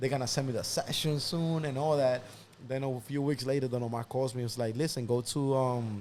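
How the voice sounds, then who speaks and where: Delivered at a fairly quick pace, the speech carries a Spanish accent and fairly even intonation. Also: man, medium pitch for a man. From Dominican Republic, raised partly in the Bronx. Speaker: music producer. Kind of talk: interview storytelling. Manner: casual, halting with repetitions.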